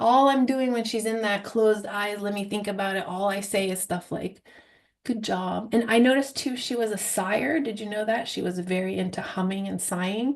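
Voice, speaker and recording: A woman talks at a moderate pace with a medium pitch. Her pitch varies in an ordinary way. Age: young. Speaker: hypnosis trainer. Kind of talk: teaching Q&A after live demo. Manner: bubbly, talkative.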